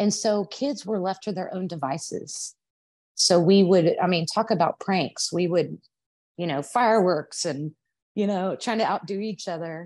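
With a Texas accent, a woman speaks at medium pitch and a moderate pace with ordinary pitch variation against a quiet background. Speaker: hairdresser and aspiring author. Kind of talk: casual interview, storytelling.

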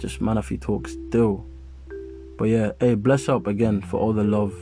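At a moderate speed, the speaker talks while music runs in the background. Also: man. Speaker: podcast co-host. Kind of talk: casual urban British slang. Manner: animated, energetic.

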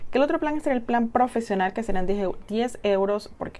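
Speaking fairly quickly in an unremarkable speaking voice, a woman varies her pitch in an ordinary way. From Chile. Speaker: podcaster reviewing business software. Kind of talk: casual tutorial monologue.

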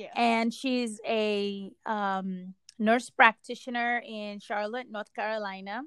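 Speaking at a very slow pace, a woman with a fairly high pitch keeps a monotone, flat intonation while her loudness swings widely. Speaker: podcast host. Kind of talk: casual chat.

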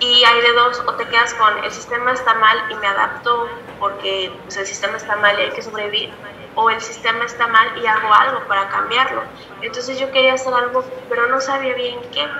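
A woman talks at a high pitch and a moderate pace with fairly even intonation. Room echo is audible, and background noise is noticeable. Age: 20s. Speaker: women's health activist. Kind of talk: interview.

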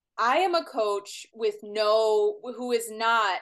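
Fairly high in pitch with ordinary variation, the woman talks in a normal speaking voice. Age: 30s. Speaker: health podcast host. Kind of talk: casual interview chat.

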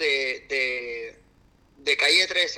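A man speaks at a very slow pace. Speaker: triathlon coach and personal trainer. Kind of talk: interview conversation.

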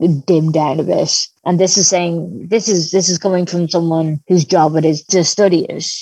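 With a Dublin accent, a woman speaks in a fairly low, dark, mellow voice and fairly even intonation. The sound is dry and close, with no echo. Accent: Dublin Irish. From Ireland, Dublin. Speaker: academic. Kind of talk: interview. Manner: halting, with repeated words.

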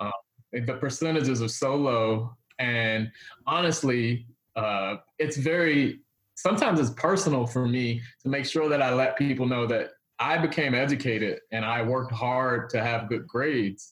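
At a moderate pace, a man with an unremarkable speaking voice and an American accent talks at medium pitch with ordinary pitch variation. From Washington DC. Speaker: economic development executive and author. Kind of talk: casual interview.

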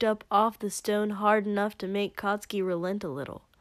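What we hear is reading aloud in a natural voice.

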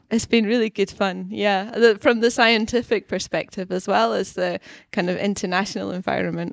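A woman with a Scottish accent talks at a fairly quick pace on a very clean recording with a silent background and a dry, close sound without echo. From Scotland. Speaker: university researcher. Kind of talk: podcast interview. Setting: studio.

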